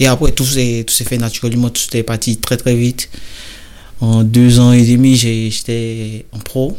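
Pausing long and often, a man speaks at a medium pitch in a flat monotone. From Côte d'Ivoire, Bouaké. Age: 20s. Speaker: professional footballer. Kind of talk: interview. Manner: hesitant, with fillers.

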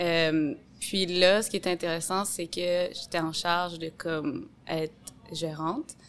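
At a very slow pace, a woman speaks with fairly even intonation. Her pitch is fairly low. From Quebec City, Quebec. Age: 30s. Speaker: sommelier. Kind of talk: casual interview.

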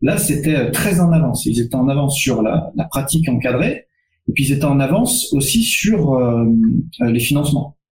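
At a fairly quick pace, this somewhat breathy voice shows ordinary pitch variation. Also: man. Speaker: strength and conditioning coach. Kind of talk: webinar panel discussion.

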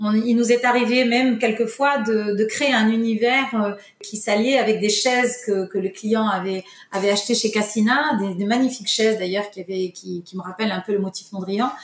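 Over noticeable background noise, a woman talks at a moderate pace with a fairly high pitch and fairly even intonation. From Morocco, Casablanca. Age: 50s. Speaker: tile company owner. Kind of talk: interview. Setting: remote recording. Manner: halting.

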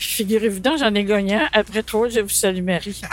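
Against background music, a woman with a fairly high voice speaks at a fairly slow pace. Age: 70s. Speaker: nostalgic fair-goer. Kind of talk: casual reminiscing.

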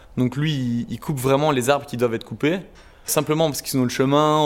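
Fairly even intonation carries speech delivered at a very fast pace. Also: man. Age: 20s. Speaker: carpenter. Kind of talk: interview. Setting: workshop. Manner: hesitant, repeats words.

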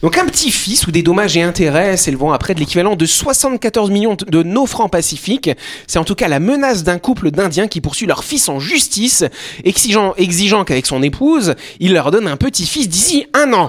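Noticeable background noise sits under a man whose high-pitched voice makes very wide pitch swings. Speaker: radio talk show host. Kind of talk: casual chat. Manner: fast.

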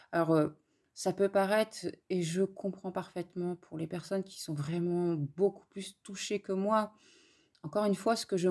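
The woman's tone is dark and mellow, her pitch fairly low. She speaks at a fairly slow pace with fairly even intonation. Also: big swings in loudness. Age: 40s. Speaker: guest living with multiple sclerosis. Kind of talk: personal testimony interview. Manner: hesitant with frequent fillers.

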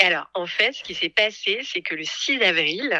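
With a plain, everyday voice, a woman talks at a moderate pace and with lively intonation, the sound dry and close with no echo. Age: 40s. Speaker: podcast creator, former marketing director. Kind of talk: personal testimony interview.

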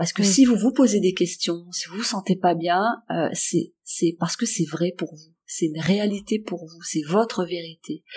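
On a very clean recording with a silent background, a woman speaks fairly slowly in a medium-pitched, somewhat breathy voice, with ordinary pitch variation and big swings in loudness. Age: 50s. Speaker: workplace wellbeing coach. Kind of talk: interview.

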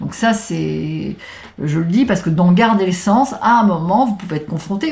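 A woman talks at a fairly quick pace with lively intonation. Noticeable background noise runs behind her. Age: 60s. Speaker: transformation coach. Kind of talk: casual interview.

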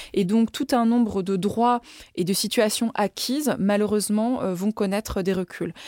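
Recorded with a dry, close sound and no echo, a woman uses an ordinary speaking voice at a medium pitch, keeping a moderate pace and fairly even intonation. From France, Lyon. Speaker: ambassador and former member of parliament. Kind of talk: interview.

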